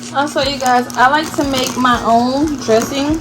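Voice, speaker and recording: Music plays in the background as a woman talks. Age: 20s. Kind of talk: casual vlog talk to camera. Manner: chatty.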